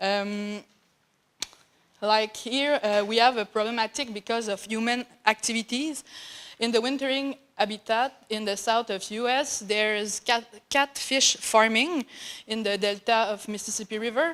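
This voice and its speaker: With a French accent, the speaker goes at a fairly slow pace with fairly even intonation. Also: woman, fairly high pitch for a woman. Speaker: graduate student researcher. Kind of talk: conference talk. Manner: halting.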